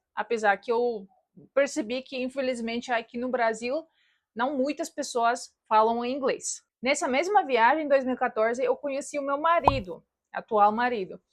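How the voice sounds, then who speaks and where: High-pitched female voice with ordinary pitch variation at a moderate pace. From Russian-speaking family in Soviet Latvia, then Germany. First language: Russian (speaking Portuguese). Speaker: YouTuber. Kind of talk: personal vlog.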